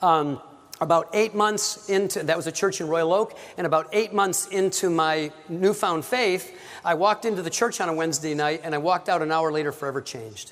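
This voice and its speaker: A man with an American accent speaks at a fairly quick pace in a high pitch with ordinary pitch variation. Noticeable background noise runs underneath. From US Midwest, Warren area. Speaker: pro-life speaker. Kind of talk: workshop lecture. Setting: church with audience. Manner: fast.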